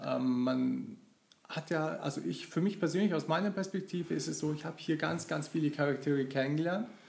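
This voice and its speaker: A man talks in an ordinary speaking voice, pitched fairly high. His pace is moderate and his pitch varies in an ordinary way. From Germany, local to the company's town. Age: 40s. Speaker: long-time employee of an IT company. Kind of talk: casual interview.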